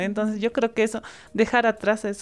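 A woman talks at a fairly quick pace with a fairly high pitch. Hers is an unremarkable speaking voice on a very clean recording with a silent background. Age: 20s. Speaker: youth activist. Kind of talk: interview.

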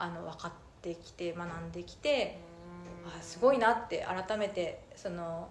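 In a room with audible echo and noticeable background noise, the voice moves at a fairly slow pace with big swings in loudness. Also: woman. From Minamata, Kumamoto, Japan. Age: 30s. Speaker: organic citrus farmer. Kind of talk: interview. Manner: many fillers (えー、えっと).

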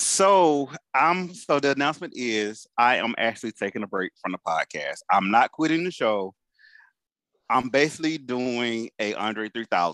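Against a quiet background, a man with a medium pitch talks at a fairly slow pace in a bright, sharp tone, his pitch swinging very widely, the sound dry and close with no echo. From Atlanta, US South. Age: 40s. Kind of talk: casual chat.

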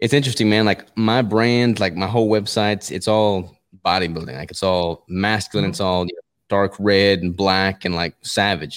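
An unremarkable speaking voice from a man, fairly low in pitch, moderate in pace, with ordinary pitch variation, on a very clean recording with a silent background. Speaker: natural bodybuilder. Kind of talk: casual interview.

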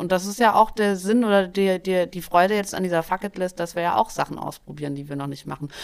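A woman of medium pitch speaks at a moderate pace with ordinary pitch variation on a very clean recording with a silent background. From Saxony, eastern Germany (Dresden). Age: 30s. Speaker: podcast host. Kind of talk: casual chat.

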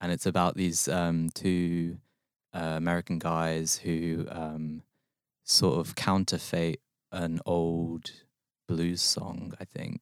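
A man with a London accent, very deep and low in pitch, very slow and monotone, in a very clean recording with a silent background and a dry, close sound with no echo. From West London. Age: 20s. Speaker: short story writer. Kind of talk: casual chat. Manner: halting.

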